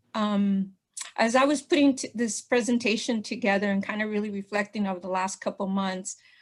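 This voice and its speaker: A somewhat breathy voice at a fairly quick pace with ordinary pitch variation, on a very clean recording with a silent background. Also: woman, medium pitch for a woman. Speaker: presenter at partners meeting. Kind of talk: presentation. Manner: fast.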